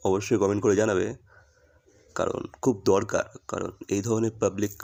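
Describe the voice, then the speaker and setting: This man's voice has a dark, mellow tone. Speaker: YouTube reaction creator. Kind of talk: casual vlog commentary.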